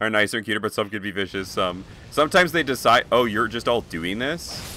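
Very fast and bright, with a sharp tone, a man's fairly low voice rises and falls with lively intonation in a dry sound with no echo and light background noise. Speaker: video game streamer. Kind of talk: live gaming stream chat. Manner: animated. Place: home room. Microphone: headset.

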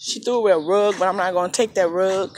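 Dry, echo-free sound over light background noise. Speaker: dumpster diver vlogger. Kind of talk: casual vlog chat. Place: street. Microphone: phone near.

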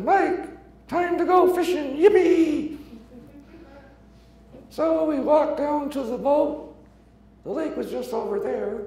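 Using a put-on character voice, a man speaks at an extremely high pitch and a fairly slow pace. There is a slight echo. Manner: storytelling, wry.

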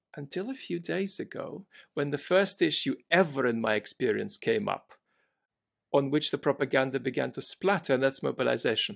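A man speaks at a moderate pace with vocal fry. The background is quiet. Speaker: remote podcast guest. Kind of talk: interview answer. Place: home room.

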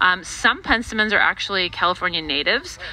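A woman talks at a very fast pace. The sound is dry, with no echo. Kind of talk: tutorial. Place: garden.

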